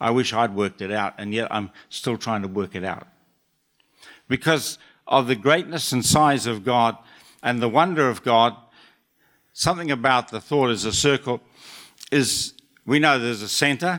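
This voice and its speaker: With a New Zealand accent, a man of medium pitch talks at a moderate pace with lively intonation and long, frequent pauses, the recording very clean with a silent background. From New Zealand (Auckland). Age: 70s. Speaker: church elder speaker. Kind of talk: short sermon. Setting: church stage with audience.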